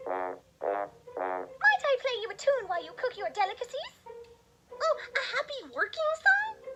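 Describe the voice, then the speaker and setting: Over music in the background, a female-sounding put-on character voice speaks at an extremely high pitch and a fairly slow pace. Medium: read story. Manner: refined, courteous.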